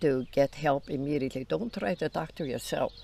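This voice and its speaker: In an Icelandic accent, a woman talks with a very deep, low pitch, ordinary pitch variation and a moderate pace. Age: 90s. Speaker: grandmother interviewed on farm channel. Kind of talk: casual interview chat.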